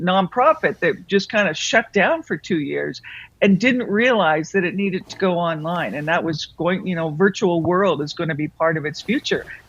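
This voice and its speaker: Against a quiet background, a woman with a fairly low pitch speaks at a moderate pace with ordinary pitch variation and hardly any pauses, in an unremarkable speaking voice. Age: 60s. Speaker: author and business consultant. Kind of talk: interview.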